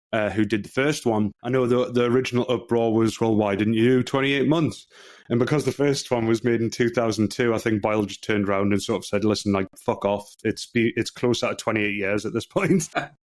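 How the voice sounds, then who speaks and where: A man with a Geordie accent talks at a fairly quick pace and a medium pitch, with hardly any pauses. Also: ordinary pitch variation. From northeast England, Newcastle area. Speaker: movie review podcast co-host. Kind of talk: casual podcast chat.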